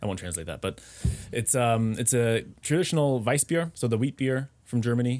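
At a moderate pace, an unremarkable speaking voice talks with ordinary pitch variation. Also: man, medium pitch for a man. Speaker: expat living in Germany. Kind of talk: casual chat.

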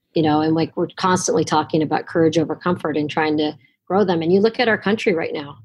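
Speaking very fast with an American accent, a woman uses a fairly low pitch and ordinary pitch variation. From Los Angeles, US. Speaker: college basketball coach. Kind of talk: interview.

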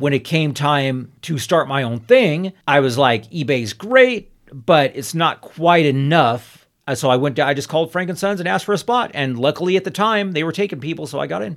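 Speaking with lively intonation and a fairly high pitch, a man keeps a moderate pace with hardly any pauses. The recording is very clean, with a silent background. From Southern California, Inland Empire and high desert. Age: 50s. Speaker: collectibles vendor. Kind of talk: casual chat.

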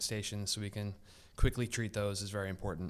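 A man with an American accent speaks at a fairly quick pace in a fairly low pitch. He has an ordinary speaking voice. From Philadelphia (Northeast). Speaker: athletic trainer, youth sports safety director. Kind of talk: casual interview.

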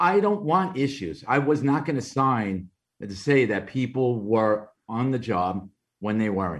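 Here a man talks in a Brooklyn accent at a medium pitch and a fairly slow pace. His pitch swings very widely over a quiet background. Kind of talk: interview testimony. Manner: conversational, frequent fillers.

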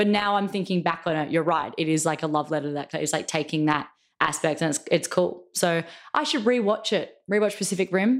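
A woman's fairly low voice, a normal speaking voice, on a very clean recording with total silence behind it. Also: ordinary pitch variation, fairly quick pace. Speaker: podcast co-host. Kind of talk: casual chat.

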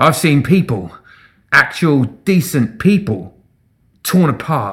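In a put-on character voice, a man speaks slowly with a fairly high, fairly bright tone and big pitch swings, on a very clean recording with a silent background.

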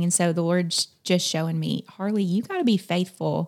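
In a Southern US accent, a woman speaks at a moderate pace with a dark, mellow tone, a fairly low pitch and fairly even intonation. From South Carolina. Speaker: missionary at a camp. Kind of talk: casual interview chat.

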